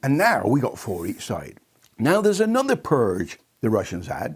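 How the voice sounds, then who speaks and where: A man with a West Country accent, vocal fry and very wide pitch swings at a moderate pace, on a very clean recording with a silent background. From England, Bristol. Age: 80s+. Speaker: maths enthusiast explaining a method. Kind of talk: casual explanation.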